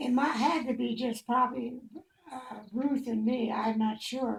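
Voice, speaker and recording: A woman speaks with an American accent at a fairly slow pace. Her pitch is high. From Indiana, Fort Wayne. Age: 90s. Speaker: elderly mother interviewed by family. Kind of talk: casual chat.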